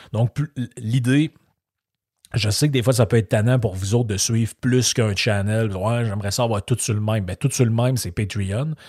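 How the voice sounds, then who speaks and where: A man with a Quebec accent talks at a moderate pace in a medium, somewhat breathy voice with fairly even intonation, recorded dry and close with no echo against a silent background in a very clean recording. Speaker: podcast host. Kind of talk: casual monologue. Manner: hesitant, many fillers.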